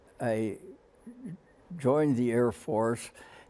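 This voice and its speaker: A man with a Canadian accent speaks at a medium pitch in a dark, mellow tone. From Canada. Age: 80s+. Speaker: war veteran. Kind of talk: interview answer. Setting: studio.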